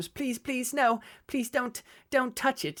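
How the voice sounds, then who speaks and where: A put-on character voice, fairly high in pitch, delivered at a fairly slow pace. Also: very clean recording, silent background. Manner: pleading, desperate.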